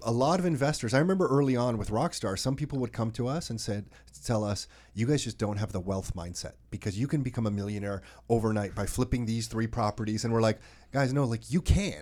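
At a medium pitch, a man speaks at a very fast pace with lively intonation. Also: very clean recording, silent background. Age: 40s. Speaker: real estate podcast host. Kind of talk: casual chat. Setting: studio.

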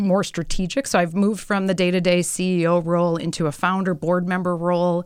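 In a very clean recording with a silent background, a woman with a plain, everyday voice and an American accent speaks at a moderate pace, her fairly low pitch held in fairly even intonation. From US Midwest. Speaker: company founder. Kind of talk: casual interview. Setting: studio.

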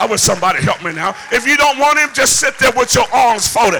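Shouting in an extremely high pitch with an American accent, a man sounds animated, his intonation lively, over noticeable background noise. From US South. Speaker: preacher. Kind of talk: sermon to a live congregation, with call-and-response. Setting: church. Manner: animated, loud, rousing; builds to a shout and prompts the crowd to answer; humorous and playful, with laughs and asides.

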